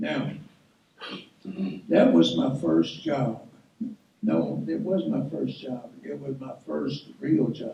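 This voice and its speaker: A man talks at a very slow pace with a Tennessee accent. Audible room echo surrounds his voice. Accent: Southern US (Tennessee). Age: 80s+. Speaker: guest speaker, retired teacher and coach. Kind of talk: speech to an audience. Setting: awards ceremony with audience. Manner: folksy, conversational.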